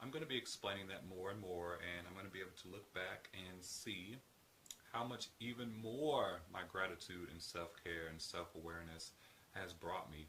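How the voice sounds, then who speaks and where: Noticeable background noise behind speech at a moderate pace with ordinary pitch variation. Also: man, very deep, low pitch for a man. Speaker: healthcare professional. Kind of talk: casual talk to camera.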